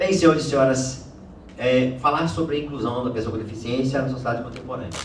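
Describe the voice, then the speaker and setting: Speaking fairly quickly, a man with a medium pitch and ordinary pitch variation is heard with audible room echo. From Bahia, Brazil. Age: 60s. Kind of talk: formal lecture. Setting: auditorium with audience, speaking off-mic. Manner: formal.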